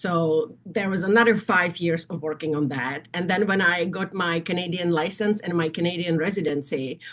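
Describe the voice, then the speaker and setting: A woman's fairly low voice with a Czech accent at a moderate pace, amid noticeable background noise. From Czechoslovakia. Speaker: nursing association executive. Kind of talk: interview. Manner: halting.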